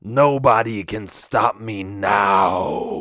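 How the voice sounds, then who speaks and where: A man puts on a character voice with a fairly low pitch. His delivery is raspy. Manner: menacing, triumphant.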